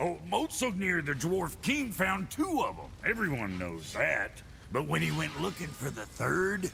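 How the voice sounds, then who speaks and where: A man does a put-on character voice, with clear background noise behind him. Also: moderate pace. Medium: video game. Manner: gruff, crude, sarcastic.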